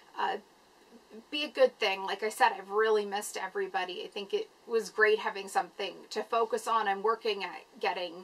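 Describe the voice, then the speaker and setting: Fairly high-pitched speech from a woman, fairly quick and fairly even in intonation, with noticeable background noise. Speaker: vlogger with chronic illness. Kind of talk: casual vlog. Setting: at home, filming in a room. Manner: halting.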